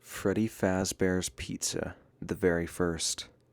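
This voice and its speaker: Music plays behind a man whose voice sits at a very deep, low pitch. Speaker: storyteller. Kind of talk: horror story narration.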